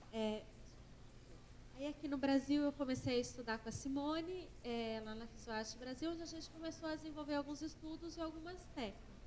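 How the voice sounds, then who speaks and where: A soft-spoken woman with a high pitch is heard with audible room echo. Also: ordinary pitch variation, fairly quick pace. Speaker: acupuncturist and therapist lecturer. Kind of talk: conference lecture. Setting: conference stage with audience.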